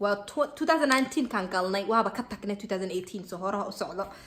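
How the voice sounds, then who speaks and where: In a Somali accent, a woman speaks at a medium pitch with an animated tone. Her pitch variation is ordinary. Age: 20s. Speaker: vlogger. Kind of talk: casual opinion vlog.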